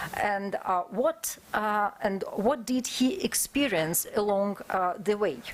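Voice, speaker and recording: Against noticeable background noise, a woman with a non-native accent speaks at a very slow pace, fairly high in pitch, with lively intonation. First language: not English. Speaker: conference speaker, historian. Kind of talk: academic conference presentation. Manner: halting, many filler sounds.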